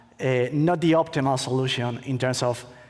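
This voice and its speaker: A man speaks with a Spanish accent at medium pitch. His intonation is fairly even. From Spain. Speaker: attorney, conference speaker. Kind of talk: conference talk. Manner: halting, many fillers.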